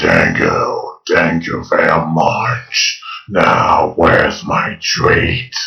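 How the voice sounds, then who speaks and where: A man growls very slowly in a put-on character voice. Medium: solo performance.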